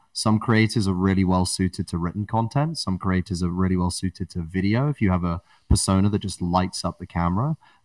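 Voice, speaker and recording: A man's very deep, low voice at a very fast pace, with ordinary pitch variation, dry and close with no echo, on a very clean recording with a silent background. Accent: British. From England. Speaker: podcast network builder and podcaster. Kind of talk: interview conversation.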